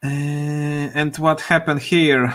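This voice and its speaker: A man with a Polish accent speaks very slowly in a fairly high pitch. His tone is bright and sharp. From Poland. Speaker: programmer live streamer. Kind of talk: live coding stream. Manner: halting, many fillers.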